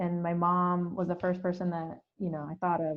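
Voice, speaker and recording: A woman with an American accent speaks at a moderate pace in a plain, everyday voice, her pitch sitting in the middle range. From Philippines, then Hayward, California from age ten. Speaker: theatre artistic director. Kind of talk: podcast interview. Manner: casual, with fillers and restarts.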